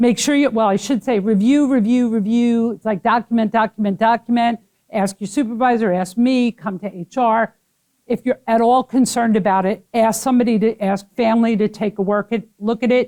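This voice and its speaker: In a Brooklyn accent, a woman talks at a fairly quick pace with fairly even intonation and a fairly high pitch. Her tone is dark and mellow, and the sound is dry and close with no echo. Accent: New York (Brooklyn). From Brooklyn, New York. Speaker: HR trainer. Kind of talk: training class. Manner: fast.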